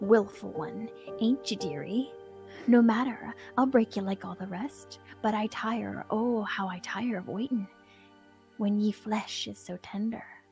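In a put-on character voice with a fairly high pitch, the speaker growls gutturally at a moderate pace with long, frequent pauses while clear music plays in the background. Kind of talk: archaic dialect. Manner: menacing, growling. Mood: menacing, theatrical.

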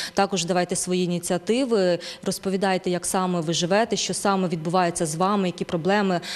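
A woman speaks at a very fast pace. Her intonation is monotone and flat. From western Ukraine, near Lviv; Ukraine. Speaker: journalist, news presenter; TV host. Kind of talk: TV news and interview. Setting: studio. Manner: halting in Italian. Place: studio. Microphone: handheld.

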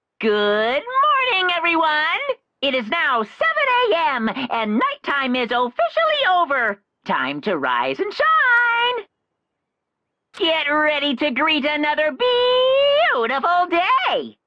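A high-pitched, put-on character voice moves at a fairly slow pace. Long pauses come often. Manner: cheery, sing-song.

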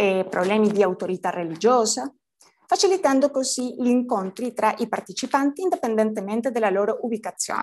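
A woman with a Spanish accent, fairly quick pace and fairly high pitch. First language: Spanish (speaking Italian). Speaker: PhD student in semiotics. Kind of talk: conference talk.

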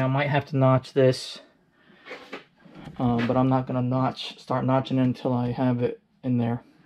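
A man talks at a fairly slow pace with light background noise behind him. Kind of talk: casual project walkthrough commentary. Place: garage. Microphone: phone near.

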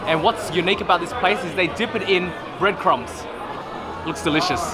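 Over clear background noise and clear crowd noise in the background, a man talks at a fairly quick pace with a high pitch. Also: ordinary pitch variation.

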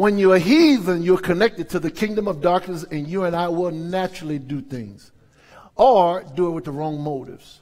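Speaking at a moderate pace, a man with an American accent uses a high pitch. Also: ordinary pitch variation. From US South, New Orleans; Louisiana. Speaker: pastor. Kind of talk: sermon. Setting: church. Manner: animated. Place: church. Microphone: headset.

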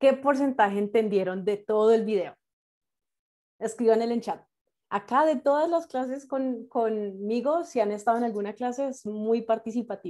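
Against a quiet background, a woman with a dark, mellow tone and fairly high pitch speaks at a moderate pace with ordinary pitch variation. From Colombia, Bogotá. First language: English (speaking Spanish). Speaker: nurse and English terminology instructor; instructor teaching medical English to nurses. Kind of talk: online class lecture. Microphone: video call.

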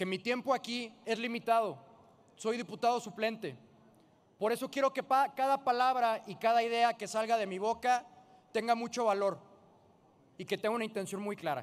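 Talking at a moderate pace with long, frequent pauses, a man uses an extremely high pitch with ordinary pitch variation. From Jalisco, Mexico. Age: 20s. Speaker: politician. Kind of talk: parliamentary speech. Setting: legislative chamber. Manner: formal. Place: hall. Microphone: podium.

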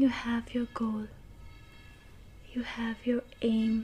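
Soft-spoken, a woman talks at a fairly high pitch over light background noise. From India. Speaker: ASMR creator. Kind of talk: ASMR relaxation talk with affirmations. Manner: soft, calming, slow. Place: home room.

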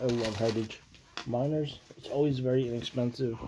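A man is speaking. Background noise is noticeable. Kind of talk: casual pack opening commentary. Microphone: phone near.

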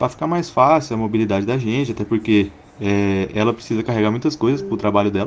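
A man rushes at a very fast pace, his pitch varying in an ordinary way, with light background noise behind him. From Goiás, Brazil. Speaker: caller, motorcycle owner; motorcycle youtuber. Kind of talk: recorded question to a host. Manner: halting. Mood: playful, joking. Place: home room. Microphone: studio mic.

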